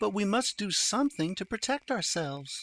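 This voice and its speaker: A put-on character voice with fairly high pitch comes through on a very clean recording with a silent background. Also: moderate pace. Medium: read story.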